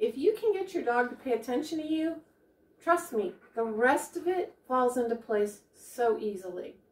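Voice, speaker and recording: Amid audible room echo, a woman with a high pitch speaks at a moderate pace, her voice making very wide pitch swings. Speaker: dog trainer. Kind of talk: tutorial. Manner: informal, friendly. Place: home room.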